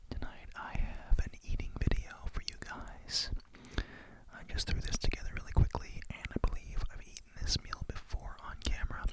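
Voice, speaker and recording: A woman whispers at a moderate pace, with big swings in loudness. Noticeable background noise is present. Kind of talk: ASMR whispered eating video with rambling talk. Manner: whispered, soft-spoken.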